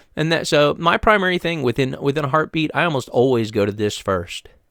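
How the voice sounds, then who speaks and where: A man with an American accent at a fairly quick pace, his pitch swinging very widely, in a very clean recording with a silent background and a dry, close sound with no echo. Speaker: freelance web developer giving tips. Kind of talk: screen-share tutorial. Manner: fast; rambling, casual with many fillers.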